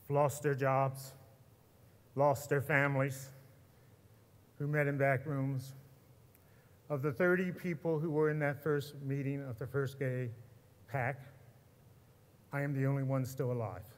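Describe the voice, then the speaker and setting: A man's fairly high voice, fairly slow and fairly even in intonation, with long, frequent pauses. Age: 60s. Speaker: activist. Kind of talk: speech. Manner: impassioned.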